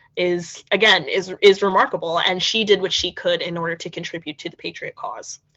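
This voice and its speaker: A woman of medium pitch talks at a moderate speed in an unremarkable speaking voice. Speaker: historical interpreter. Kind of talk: museum history lecture.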